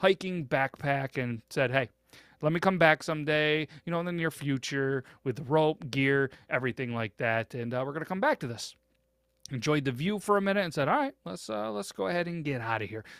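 Speaking at a fairly quick pace, a man with fairly high pitch uses an ordinary speaking voice and lively intonation, in a dry, close sound with no echo. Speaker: podcast host. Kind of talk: storytelling, retelling a listener's story. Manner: casual, filler-heavy with repeated words.

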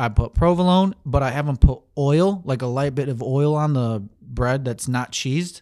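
Over a very clean recording with a silent background, a man with a plain, everyday voice speaks at a fairly high pitch with ordinary pitch variation. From Saginaw, Michigan, Mexican-American family. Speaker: podcast co-host. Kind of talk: casual chat. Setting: home recording, sunroom.

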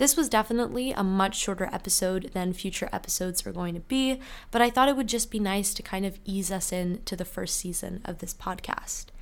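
On a very clean recording with a silent background, a woman speaks in a Canadian accent. Her pitch is medium, with ordinary variation. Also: fairly quick pace. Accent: sounds Canadian. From UK. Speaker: student podcast host. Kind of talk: casual solo podcast monologue.

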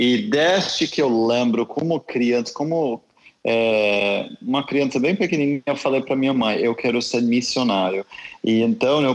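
This man speaks with an American accent. His loudness stays very even. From US South, Tennessee. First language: English (speaking Portuguese). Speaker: missionary. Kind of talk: interview.

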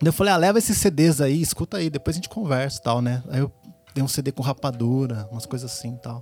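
Over noticeable background noise, a man with a medium pitch speaks very fast with lively intonation. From Brazil, Piracicaba (São Paulo state interior). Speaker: rapper. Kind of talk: casual chat. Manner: halting.

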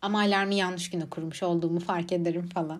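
Intonation stays fairly even in a plain, everyday voice. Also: woman. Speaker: podcaster, psychology student. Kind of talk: casual monologue. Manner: frequent laughter.

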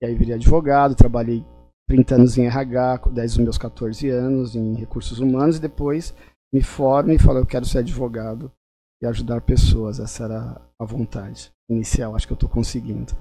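His tone dark and mellow, a man speaks at a moderate pace and medium pitch, with fairly even intonation and big swings in loudness. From São Paulo, raised by migrants from Pernambuco. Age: 50s. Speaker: family lawyer. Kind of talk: live-stream interview.

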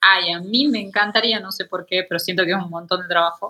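A woman speaks in an ordinary speaking voice. Her intonation is fairly even. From Argentina, Tucumán. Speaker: illustrator and painter. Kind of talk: interview conversation.

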